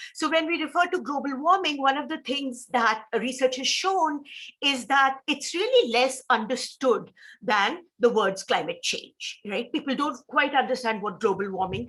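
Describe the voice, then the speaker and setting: A woman's high, bright and sharp voice in an Indian accent, at a moderate pace with lively intonation, on a very clean recording with a silent background. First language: Hindi. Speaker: professor. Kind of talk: lecture.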